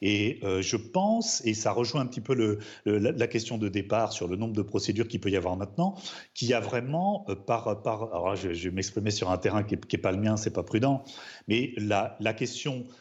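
Here a man speaks in a plain, everyday voice at a moderate pace. His pitch is fairly low with ordinary pitch variation. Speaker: criminal defense lawyer. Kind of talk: studio debate interview.

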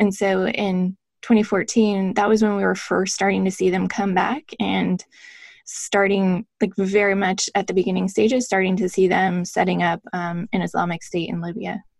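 A woman speaks with an American accent in an unremarkable speaking voice. Her intonation stays fairly even. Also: medium pitch for a woman, moderate pace. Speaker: former intelligence officer and author. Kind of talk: interview about her book.

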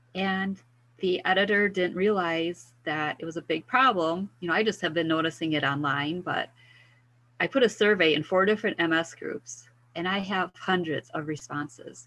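Against a quiet background, a woman speaks at a moderate pace and a fairly low pitch, her tone bright and sharp, with ordinary pitch variation. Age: 50s. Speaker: wellness mentor for women with multiple sclerosis. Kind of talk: interview.

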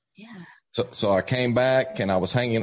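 Here a man speaks at a medium pitch with an Appalachian accent. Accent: Southern US (Appalachian). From East Tennessee, US. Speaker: evangelist. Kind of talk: casual interview, testimony.

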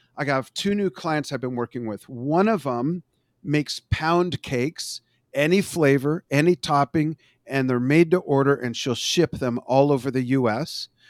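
A man with a normal speaking voice, fairly high pitched, at a moderate pace with ordinary pitch variation, dry and close with no echo. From Los Angeles, US. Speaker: social media marketing consultant. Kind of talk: casual interview.

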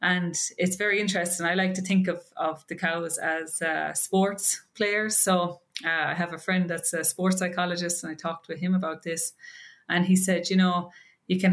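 A woman at medium pitch, moderate pace and flat, monotone intonation, in a very clean recording with a silent background. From Ireland. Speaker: PhD student researcher in animal genetics. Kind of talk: podcast interview.

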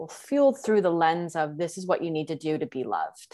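Against a quiet background, a woman speaks in an ordinary speaking voice at medium pitch with ordinary pitch variation. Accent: American. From Texas. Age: 20s. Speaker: feminine embodiment coach. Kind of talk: casual interview.

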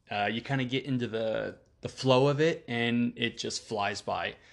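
In front of a quiet background, a man with an ordinary speaking voice talks at a fairly slow pace and medium pitch. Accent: American. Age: 30s. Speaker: podcast host. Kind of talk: casual monologue.

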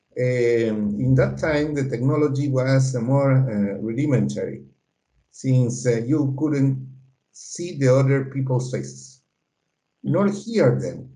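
A man's somewhat breathy, dark and mellow voice with a Spanish accent, medium in pitch and very slow, with audible room echo. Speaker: political science professor. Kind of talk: interview. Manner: halting, many fillers.

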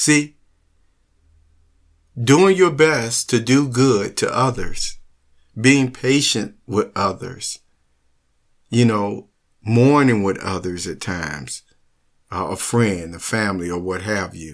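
In a very clean recording with a silent background, a man speaks at a slow pace with long, frequent pauses. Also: fairly low pitch for a man, ordinary pitch variation.

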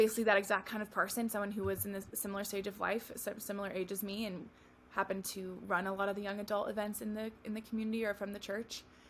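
With an American accent, a woman talks at a very fast pace and medium pitch. Her voice is somewhat breathy, its intonation monotone and flat. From California. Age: 20s. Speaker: wedding photographer. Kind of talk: casual interview chat.

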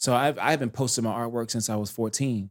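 Fairly quick and fairly even in intonation, the speaker has an ordinary speaking voice with an American accent. The recording is very clean, with a silent background. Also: man. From US South, North Carolina. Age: 30s. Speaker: animation director. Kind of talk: casual chat.

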